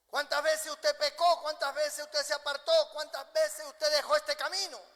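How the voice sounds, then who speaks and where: A man speaks at an extremely high pitch and a fairly quick pace. His intonation is monotone and flat. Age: 60s. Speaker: pastor. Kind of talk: sermon.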